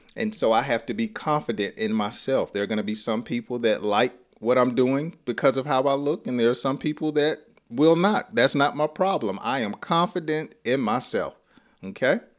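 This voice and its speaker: Speaking in a Southern US accent, a man uses lively intonation and a medium pitch on a very clean recording with a silent background. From US South (Georgia). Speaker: English teacher. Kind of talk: lesson. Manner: slow; warm, upbeat.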